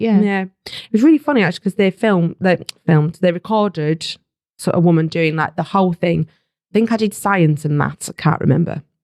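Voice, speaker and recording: In a Yorkshire accent, a woman speaks at a fairly quick pace with a fairly low pitch and ordinary pitch variation. Her loudness swings widely, she pauses long and often, and the sound is dry and close with no echo. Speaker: voiceover artist for educational recordings. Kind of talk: casual conversational.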